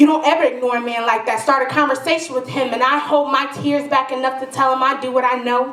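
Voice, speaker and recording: Against noticeable background noise, a woman with an American accent talks at a moderate pace in a high pitch with fairly even intonation. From Detroit. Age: young. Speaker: spoken word poet. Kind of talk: poetry slam performance. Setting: live stage with audience.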